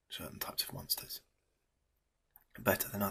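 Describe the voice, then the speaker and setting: A man whispers with a British accent. He is soft-spoken, with a gentle tone. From England. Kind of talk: ASMR show and tell. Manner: soft-spoken, whispery, gentle.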